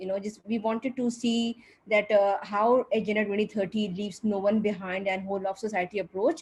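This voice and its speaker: A woman speaks at a medium pitch and a fairly quick pace. Her intonation stays fairly even. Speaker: coordinator of a regional civil society platform. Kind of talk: opening remarks at online panel event. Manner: fast.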